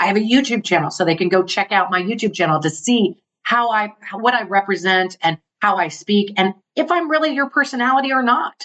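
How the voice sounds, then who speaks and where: The tone is animated. The pitch makes very wide swings. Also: woman. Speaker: international speaker and entrepreneur. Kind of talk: podcast interview. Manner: fast.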